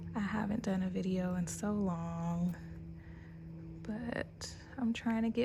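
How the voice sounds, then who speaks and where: Somewhat breathy, with a dark, mellow tone, a woman speaks at a very slow pace. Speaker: gardening youtuber. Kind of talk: casual vlog tutorial.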